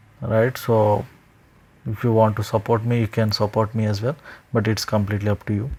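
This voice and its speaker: A man speaks with an Indian accent. His pitch is medium. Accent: Indian English (Telugu). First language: Telugu. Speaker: indie game developer. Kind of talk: screen-recorded tutorial. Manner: casual, with frequent hesitations and self-corrections.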